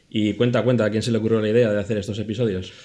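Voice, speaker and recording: Against noticeable background noise, a man with a fairly low pitch talks at a very fast pace in fairly even intonation. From Spain, Zaragoza (Aragon). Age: 40s. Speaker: podcast producer and editor. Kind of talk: casual chat.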